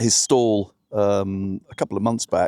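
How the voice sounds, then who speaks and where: Recorded very cleanly against a silent background, a man with a southern English accent has a dark, mellow tone in a dry, close sound with no echo. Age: 60s. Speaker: vlogger sailing a small boat. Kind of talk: casual vlog narration. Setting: outdoors on a boat. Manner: hesitant, many fillers.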